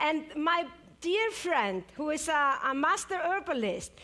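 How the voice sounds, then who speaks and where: Over noticeable background noise, a woman with an Icelandic accent speaks in a high pitch. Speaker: superfood expert. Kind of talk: live presentation. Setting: stage with audience. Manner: slow.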